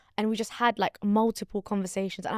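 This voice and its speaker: A woman with a London accent speaks at a very fast pace in a fairly high, animated voice. The recording is very clean with a silent background and a dry, close sound with no echo. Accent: London English, multicultural London. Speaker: podcaster. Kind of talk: casual chat.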